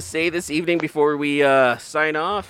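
At a moderate pace, this man talks fairly high in pitch in a plain, everyday voice. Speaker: podcast host. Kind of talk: casual banter.

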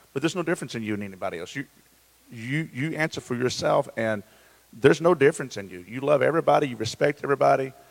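Vocal fry and lively intonation mark a man's medium-pitched voice at a very fast pace. His loudness swings widely in a dry, close sound with no echo. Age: 40s. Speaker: pastor. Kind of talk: casual chat. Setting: church campus, live stream.

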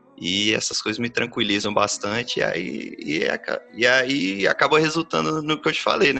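A man's voice over noticeable background noise. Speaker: singer-songwriter. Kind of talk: interview. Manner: casual.

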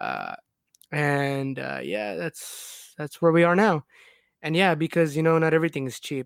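A man with a normal speaking voice talks at a moderate pace, his pitch fairly high with ordinary pitch variation, on a very clean recording with a silent background and a dry, close sound with no echo. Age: 20s. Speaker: podcast co-host. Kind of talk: casual chat. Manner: relaxed, casual.

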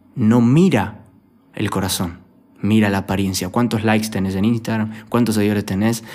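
In a Rioplatense accent, a man of medium pitch speaks at a moderate pace with monotone, flat intonation. Audible room echo surrounds his voice. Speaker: youth pastor. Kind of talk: sermon.

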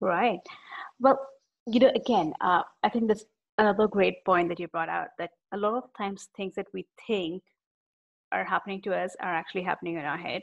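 A woman with an American accent speaks at a fairly quick pace and a medium pitch, with ordinary pitch variation and vocal fry. Her long, frequent pauses come through a dry, close sound with no echo against a quiet background. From India. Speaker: podcast host, sales professional. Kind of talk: interview.

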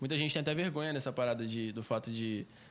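Captured in a very clean recording with a silent background, a man with a Rio de Janeiro accent speaks in a medium pitch with ordinary pitch variation. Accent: Rio de Janeiro accent noticeable. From Rio de Janeiro state (Cabo Frio), Brazil. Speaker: singer. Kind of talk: casual chat.

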